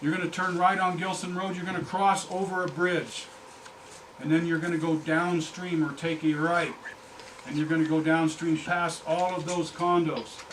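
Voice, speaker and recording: A man with an American accent talks in a high pitch with monotone, flat intonation. Noticeable background noise and audible room echo fill the recording. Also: moderate pace. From Colorado. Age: 60s. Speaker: fly fishing professional. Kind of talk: presentation to audience. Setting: fly shop presentation with audience. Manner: conversational, interactive.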